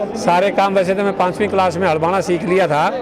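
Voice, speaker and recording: Amid crowd noise and audible room echo, a man speaks high in pitch. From Haryana, India. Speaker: farmer. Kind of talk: interview. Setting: outdoors at a farmers' fair.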